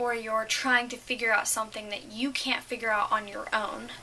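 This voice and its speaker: A woman's high-pitched voice at a fairly quick pace, with noticeable background noise. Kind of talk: casual talk to camera. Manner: stuttering, hesitant.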